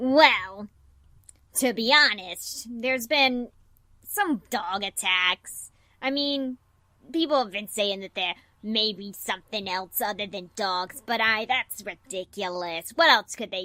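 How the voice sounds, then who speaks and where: Using a put-on character voice, a woman speaks at a fairly slow pace with fairly high pitch and big swings in loudness, in a dry, close sound with no echo. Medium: actual play. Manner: curt, dismissive, stubborn.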